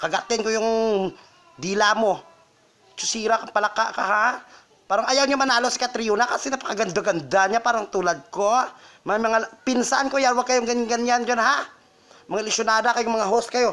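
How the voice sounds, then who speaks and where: Amid noticeable background noise, a man shouts in a raised, projected voice at an extremely high pitch, with a dramatic, furious tone, fairly even intonation, a fairly quick pace and long, frequent pauses. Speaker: vlogger. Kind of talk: angry rant. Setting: casual self-recorded vlog. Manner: furious, shrill and scathing, spitting insults at the hosts; campy, dramatic, fast and sassy.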